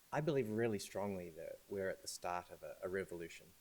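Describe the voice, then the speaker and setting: A man with a New Zealand accent, fairly low in pitch, at a fairly quick pace. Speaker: AI and data science consultant. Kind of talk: talk at a launch event. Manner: hesitant, with fillers and repeated words.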